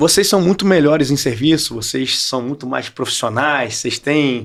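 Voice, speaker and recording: A man with a Rio de Janeiro accent speaks with vocal fry. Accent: carioca. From Brazil, Rio de Janeiro. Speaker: entrepreneur and professor. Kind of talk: podcast interview.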